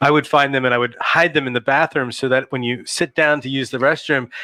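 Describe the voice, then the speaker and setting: At a very fast pace, a man talks in a bright, sharp, medium-pitched voice with fairly even intonation, recorded with a dry, close sound and no echo. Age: 40s. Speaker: podcast host in addiction recovery. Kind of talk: casual podcast conversation. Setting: studio. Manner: halting, many repeated words.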